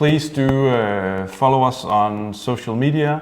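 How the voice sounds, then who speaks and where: There is noticeable background noise as a man speaks with a Danish accent. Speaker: distillery host of whisky tasting. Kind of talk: online tasting livestream. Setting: studio at distillery, livestream.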